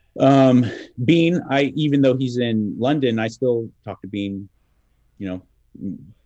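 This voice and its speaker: A man with a Southern California accent speaks fairly slowly at a medium pitch, his dark, mellow tone carrying ordinary pitch variation. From Los Angeles. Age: 40s. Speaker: radio host. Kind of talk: casual chat.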